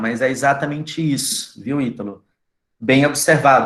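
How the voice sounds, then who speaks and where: With audible room echo, a man speaks at a moderate pace and varies his pitch in an ordinary way. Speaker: university lecturer. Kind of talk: lecture. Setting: video call.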